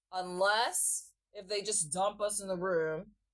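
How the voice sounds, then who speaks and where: A woman talks at medium pitch and a fairly slow pace. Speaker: vlogger. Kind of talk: casual vlog monologue. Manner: relaxed.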